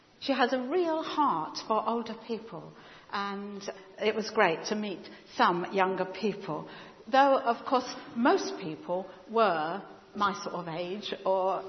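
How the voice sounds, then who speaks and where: Against noticeable background noise, a woman with a British accent speaks very slowly at a medium pitch with lively intonation. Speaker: church member. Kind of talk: church announcements. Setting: church.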